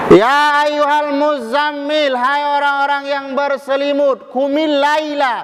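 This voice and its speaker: A man with a Medan accent speaks at a fairly slow pace in an extremely high pitch. His tone is animated over noticeable background noise. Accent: Medan accent, loud voice. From Medan, North Sumatra. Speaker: preacher. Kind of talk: sermon.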